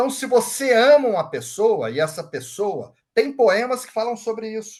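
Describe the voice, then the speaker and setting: A man with an extremely high pitch, ordinary pitch variation and a moderate pace. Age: 60s. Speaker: Reiki master. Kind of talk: lecture. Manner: casual.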